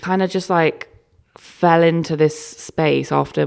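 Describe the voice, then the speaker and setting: A woman is speaking. She has a South London accent. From London, Peckham. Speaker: creative director and stylist. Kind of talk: casual interview chat. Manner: animated.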